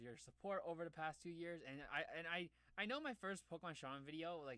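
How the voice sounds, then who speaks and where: A man with a fairly high voice speaks in an animated tone that is bright and sharp. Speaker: gaming YouTuber. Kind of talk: casual gameplay commentary. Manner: fast; animated, stammering.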